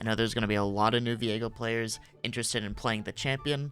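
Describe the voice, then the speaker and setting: There is noticeable background noise behind this speaker. A man talks at a medium pitch with fairly even intonation. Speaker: gaming content creator. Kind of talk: game guide commentary. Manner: hushed, keeping voice down.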